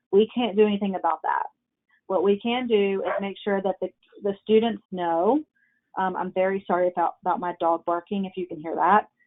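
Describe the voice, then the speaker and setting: A woman at a medium pitch, fairly quick in pace and fairly even in intonation, with music in the background. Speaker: program director. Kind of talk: webinar presentation. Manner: fast.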